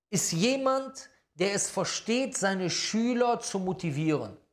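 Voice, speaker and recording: A man at a very slow pace, lively intonation and audible room echo. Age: 40s. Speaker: Islamic preacher. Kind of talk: religious lecture.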